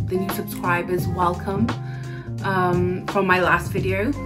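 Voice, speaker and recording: Over loud music in the background, a woman speaks at a fairly slow pace. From Fiji. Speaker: beauty vlogger. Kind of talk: casual talk to camera. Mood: friendly, relaxed. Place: home room. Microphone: phone near.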